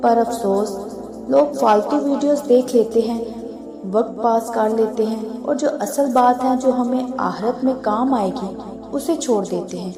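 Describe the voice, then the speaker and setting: With music playing in the background, a woman speaks at a fairly high pitch with fairly even intonation. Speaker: religious content creator. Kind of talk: emotional religious talk to viewers. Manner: heartfelt, sorrowful.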